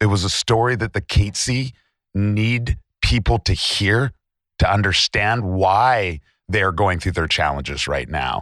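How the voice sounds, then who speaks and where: A man with a Canadian accent and an unremarkable speaking voice talks at a fairly slow pace, his pitch fairly low and his intonation lively. The recording is very clean, with a silent background. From British Columbia, Canada. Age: 30s. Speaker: treasure hunter and podcast co-host. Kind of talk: interview.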